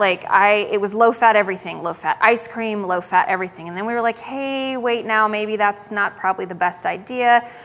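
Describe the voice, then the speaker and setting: A woman speaks with an American accent at a fairly quick pace. Her fairly high-pitched voice has an animated tone. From western US. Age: 30s. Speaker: dietitian. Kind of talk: health talk presentation. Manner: fast.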